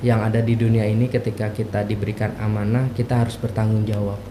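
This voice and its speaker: A man at medium pitch with a strong Jakarta accent, amid noticeable background noise and audible room echo. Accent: strong Betawi. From Jakarta, Betawi. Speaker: university lecturer. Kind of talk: podcast interview.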